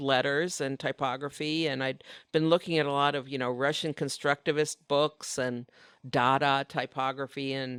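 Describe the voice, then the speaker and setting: A woman talks at a moderate pace, the sound dry and close with no echo in a very clean recording with a silent background. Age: 60s. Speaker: designer and painter, author. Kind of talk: casual interview chat. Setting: live podcast recording at design conference.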